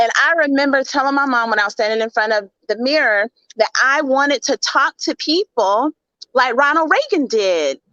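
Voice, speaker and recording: In a raised, projected voice with a Southern US accent, a woman speaks at a high pitch with a bright, sharp tone, lively intonation and very even loudness. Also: dry, close sound with no echo. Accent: Southern drawl, drops G's. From US South, Mississippi. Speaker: leadership speaker. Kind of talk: interview.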